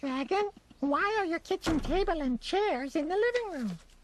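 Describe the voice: This cartoonish character voice is squeaky, with an extremely high pitch. It moves at a moderate pace.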